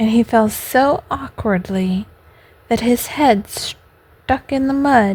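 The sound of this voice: The pitch shifts in an ordinary way. It is an unforced reading voice.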